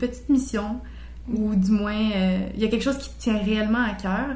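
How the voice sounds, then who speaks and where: A woman's somewhat breathy voice, with fairly even intonation, comes through with audible room echo. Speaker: podcast host. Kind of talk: interview.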